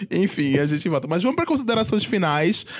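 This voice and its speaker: There is noticeable background noise. A man speaks in a high pitch. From Pernambuco, Brazil. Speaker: podcast host. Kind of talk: casual chat.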